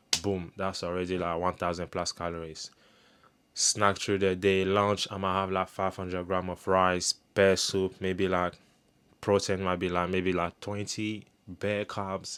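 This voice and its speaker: A man speaks in a very deep, low pitch at a fairly slow pace, monotone with flat intonation, on a very clean recording with a silent background. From Ivory Coast. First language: French. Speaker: personal trainer and fitness vlogger. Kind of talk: casual vlog monologue.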